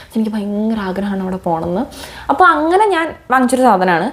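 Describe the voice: A woman speaks fast at a medium pitch, her tone slightly mellow and her intonation lively.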